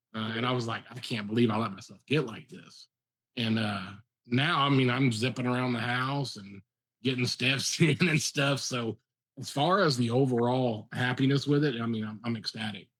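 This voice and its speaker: Big swings in loudness mark a man's unremarkable speaking voice, which moves at a moderate pace and medium pitch with ordinary pitch variation. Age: 50s. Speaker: fellow faster, video blogger. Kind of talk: casual chat.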